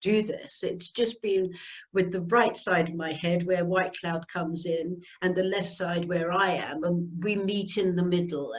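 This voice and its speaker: A woman's fairly slow delivery. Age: 60s. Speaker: channeling medium. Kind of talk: interview. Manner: hesitant, filler-heavy.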